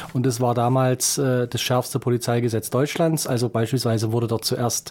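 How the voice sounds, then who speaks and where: Noticeable background noise sits behind this recording. A man talks at a medium pitch and a moderate pace. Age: 40s. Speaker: lawyer and state politician. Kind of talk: interview. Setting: studio.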